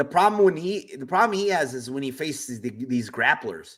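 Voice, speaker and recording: With lively intonation, a man talks in a plain, everyday voice. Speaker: MMA betting podcaster. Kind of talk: casual solo podcast, betting predictions.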